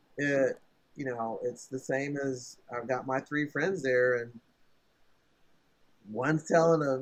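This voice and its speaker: At a moderate pace, a man talks at a fairly high pitch in a plain, everyday voice. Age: 60s. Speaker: tech entrepreneur. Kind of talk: casual chat.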